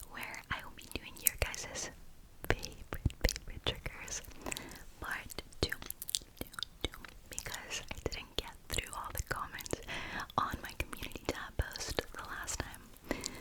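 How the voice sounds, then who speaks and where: Over noticeable background noise, a woman whispers at a fairly slow pace. She leaves long, frequent pauses, and her loudness swings a lot. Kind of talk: ASMR roleplay, talking to camera. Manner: repetitive trigger-word whispering.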